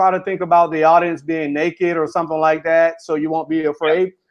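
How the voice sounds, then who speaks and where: Someone with an American accent speaks at a fairly quick pace. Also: man. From Florida, US South. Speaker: author and motivational speaker. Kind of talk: interview. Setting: live stream interview. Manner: fast, runs sentences together.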